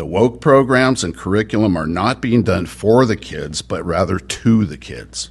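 A man speaks at a fairly slow pace with vocal fry and lively intonation. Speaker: citizen giving public comment. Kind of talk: prepared public comment. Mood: critical, firm. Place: meeting room. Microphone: podium.

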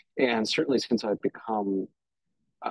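At a fairly quick pace, a man speaks in a fairly low pitch with fairly even intonation, the sound dry with no echo and the background quiet. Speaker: historian and podcast producer. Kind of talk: panel discussion. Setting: video call. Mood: wry, animated. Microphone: video call.

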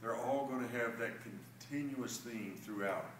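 The intonation stays fairly even. Light background noise and audible room echo are present. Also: man. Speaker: real estate agent. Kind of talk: promotional market update video. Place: meeting room. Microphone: camera far.

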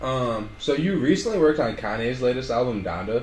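Light background noise sits under the recording. The man's voice carries audible room echo. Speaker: interviewer. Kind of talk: casual chat. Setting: studio. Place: office.

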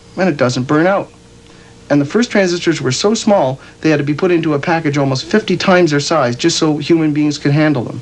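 At a fairly quick pace, a man with a fairly high pitch talks with ordinary pitch variation over noticeable background noise. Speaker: educational film narrator. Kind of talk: 1977 educational film narration, scripted explainer. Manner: casual, folksy, conversational; light, humorous, plain-spoken, explanatory.

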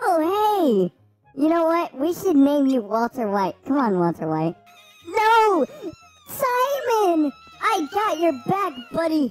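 In a put-on character voice with very wide pitch swings, the speaker goes at a fairly slow pace over faint music in the background. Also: woman, extremely high pitch for a woman. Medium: game stream. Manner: hyper, excitable.

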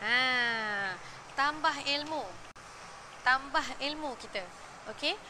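In a room with audible echo, a woman uses a raised, projected voice with a high pitch and a bright, sharp tone, speaking very slowly with long, frequent pauses and ordinary pitch variation. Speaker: parenting show host. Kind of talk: live-stream talk. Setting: gym during children's classes. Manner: hesitant, many fillers.

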